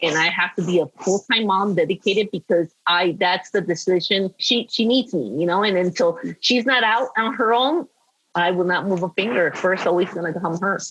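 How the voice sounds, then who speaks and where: The speaker talks with a Spanish accent. Pitch varies in an ordinary way. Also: woman, medium pitch for a woman, moderate pace, very even loudness. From Peru. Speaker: former model and screenwriter. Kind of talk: podcast interview. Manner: animated.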